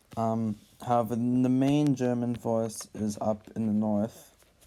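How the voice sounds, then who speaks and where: Noticeable background noise lies under speech delivered very slowly. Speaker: youtuber narrating map game. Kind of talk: casual gameplay commentary. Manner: hesitant with fillers.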